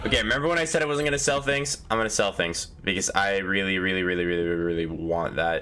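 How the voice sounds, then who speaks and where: Very fast with hardly any pauses, the speech has very wide pitch swings and very even loudness. Audible room echo and noticeable background noise accompany it. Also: man, fairly low pitch for a man. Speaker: gaming youtuber. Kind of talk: let's play commentary. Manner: casual, thinking aloud.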